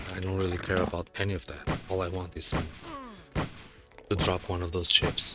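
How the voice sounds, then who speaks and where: Over noticeable background noise, a man with a very deep, low pitch talks in a monotone, flat way at a fairly quick pace, leaving long, frequent pauses. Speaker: gaming video creator. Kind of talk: gameplay commentary. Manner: soft-spoken, tends to whisper; halting.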